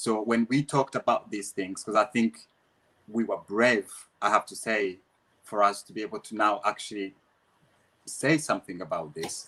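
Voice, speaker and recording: Recorded dry and close with no echo, a man with a Rwandan accent speaks at a moderate pace in a bright, sharp tone and a fairly low pitch. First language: Kinyarwanda. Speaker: dancer and dance teacher. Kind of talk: interview. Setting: live online Q&A. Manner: halting, many repetitions.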